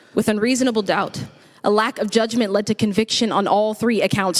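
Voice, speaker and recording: The speaker talks at a fairly quick pace in an ordinary speaking voice. The intonation stays fairly even. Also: woman. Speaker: spoken word poet, leader of a spoken word poetry collective. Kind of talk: spoken word poetry performance at a gala.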